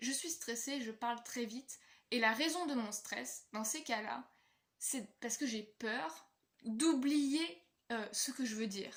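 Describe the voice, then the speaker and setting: With lively intonation and a high pitch, a woman speaks at a very slow pace. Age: 20s. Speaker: vlogger. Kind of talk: personal vlog monologue.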